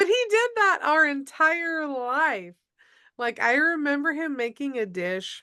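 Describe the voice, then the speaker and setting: With an Upper Midwest accent, a woman speaks at a fairly slow pace in a bright, sharp tone, her pitch swinging very widely over a quiet background. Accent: Upper Midwest American. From Minnesota. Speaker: podcast host. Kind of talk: casual interview chat.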